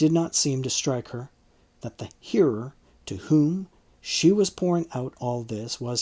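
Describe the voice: The text is given a plain reading aloud.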